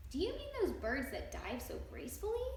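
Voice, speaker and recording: A woman does a loud, put-on character voice at a fairly quick pace. There is clear echo on the recording. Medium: read story. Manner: loud, hearty.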